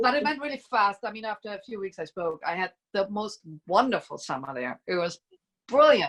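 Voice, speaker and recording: With a German accent, a woman speaks at a moderate pace in a fairly high pitch, her intonation lively. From East Germany. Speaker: musician. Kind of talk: casual chat.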